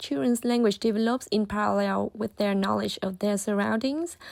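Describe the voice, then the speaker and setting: A woman with a Vietnamese accent speaks at a moderate pace in a fairly high voice, barely pausing, in a dry, close recording with no echo and a silent, very clean background. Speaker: student. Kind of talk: scripted narration.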